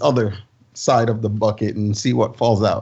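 The man's voice is somewhat breathy. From Jamaica. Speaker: filmmaker and Navy veteran. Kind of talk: casual chat.

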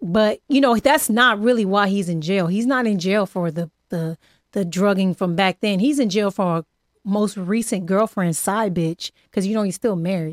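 A woman with a plain, everyday voice and an American accent, medium in pitch with ordinary pitch variation, in a dry, close sound with no echo on a very clean recording with a silent background. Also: moderate pace. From Los Angeles area, California. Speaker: podcast host. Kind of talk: casual interview chat. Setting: studio.

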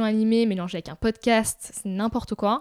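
A woman speaks in a dark, mellow tone. Her pace is moderate and her intonation fairly even. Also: very clean recording, silent background. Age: 20s. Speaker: startup founder. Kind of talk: interview. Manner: halting, many fillers.

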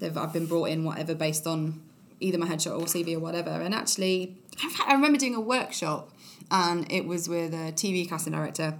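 In an East Midlands accent, a woman with a fairly low pitch speaks at a fairly quick pace amid audible room echo. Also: ordinary pitch variation. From Nottingham, England. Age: 20s. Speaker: actress. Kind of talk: casual chat.

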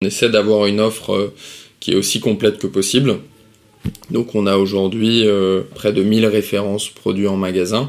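With an ordinary speaking voice, a man talks at a moderate pace, fairly low in pitch with fairly even intonation. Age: 30s. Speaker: social entrepreneur. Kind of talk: interview.

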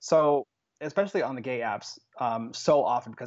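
With an American accent, a man talks at a fairly quick pace in an enthusiastic, animated tone. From Phoenix, Arizona. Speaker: guest. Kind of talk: casual chat.

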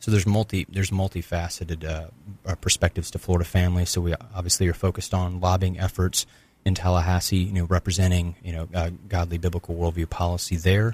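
On a very clean recording with a silent background and a dry, close sound with no echo, a man talks very fast in a very deep, low, somewhat breathy voice with monotone, flat intonation. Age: 20s. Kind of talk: radio interview. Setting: radio studio.

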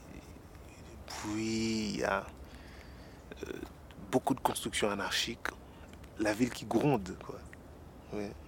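A man's fairly low voice at a very slow pace, with long, frequent pauses, big swings in loudness and ordinary pitch variation. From Haiti, Port-au-Prince. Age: 30s. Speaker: actor and stage director. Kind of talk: documentary interview.

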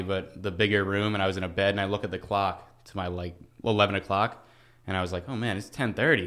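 In a very clean recording with a silent background, a man speaks with an American accent at a fairly low pitch. He goes at a very fast pace with fairly even intonation. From Long Island, New York. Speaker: college baseball pitcher. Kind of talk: interview.

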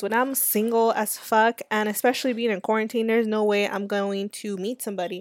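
A fairly high-pitched woman with an American accent, flat monotone delivery at a fairly quick pace, dry and close with no echo, on a very clean recording with a silent background. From Los Angeles. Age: 20s. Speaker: podcast host. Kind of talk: casual monologue. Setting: sitting outside. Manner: casual, conversational with fillers.

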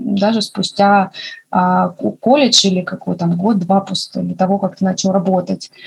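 This woman's voice is somewhat breathy and medium in pitch. Her pace is moderate. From Russia, Makhachkala (Dagestan). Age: 20s. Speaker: nurse and medical student. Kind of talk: casual chat.

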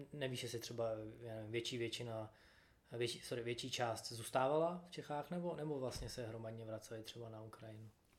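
Against noticeable background noise, a man talks at a fairly quick pace in a medium pitch with ordinary pitch variation. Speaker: podcast host. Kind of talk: casual interview.

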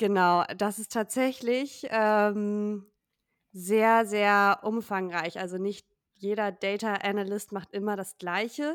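At a very slow pace, a woman speaks at a medium pitch with fairly even intonation on a very clean recording with a silent background. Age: 20s. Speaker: data analyst. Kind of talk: interview.

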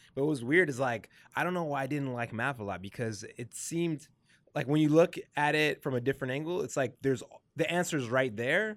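Fairly high pitch from a man with an unremarkable speaking voice, fairly quick with ordinary pitch variation, on a very clean recording with a silent background. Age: 20s. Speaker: podcast host, designer. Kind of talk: casual interview chat.

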